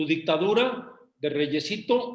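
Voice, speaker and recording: A man speaks with a Mexican accent. His intonation is lively. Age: 60s. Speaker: business association member. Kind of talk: casual chat. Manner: animated.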